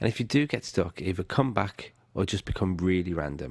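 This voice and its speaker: Heard on a very clean recording with a silent background, a man with a very deep, low pitch speaks at a fairly quick pace with ordinary pitch variation. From Britain. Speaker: online course instructor. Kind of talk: tutorial.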